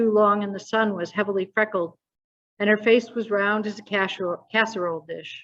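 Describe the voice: Over a quiet background comes plain reading aloud, its intonation fairly even.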